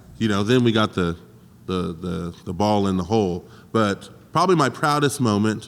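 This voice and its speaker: Speaking at a moderate pace, a man with a fairly low pitch uses lively intonation. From Tulsa, Oklahoma (moved there at eight). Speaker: rapper and music producer. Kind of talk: casual chat.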